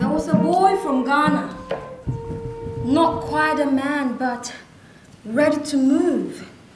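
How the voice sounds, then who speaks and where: A woman speaks very slowly in a high voice with very wide pitch swings. Noticeable noise runs in the background. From Ghana. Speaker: actress, spoken word performer. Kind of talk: spoken word theatre performance.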